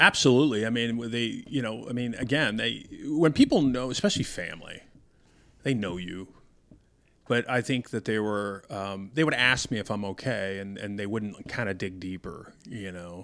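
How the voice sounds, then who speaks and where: A man's ordinary speaking voice at a medium pitch and moderate pace, with ordinary pitch variation and big swings in loudness. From Denver, Colorado. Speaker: retired police commander. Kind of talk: interview.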